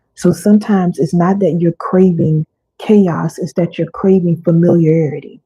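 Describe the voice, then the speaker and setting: Her voice dark, mellow and somewhat breathy, a woman speaks at a fairly low pitch with fairly even intonation. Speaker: wellness coach. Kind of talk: live teaching session. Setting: livestream. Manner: slow; deliberate pauses.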